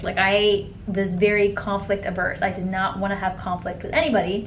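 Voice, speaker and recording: Moderate pace in an American accent, with audible room echo and noticeable background noise. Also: woman. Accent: sounds American. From grew up in a Middle Eastern country, then America. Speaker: lifestyle vlogger. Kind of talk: casual chat.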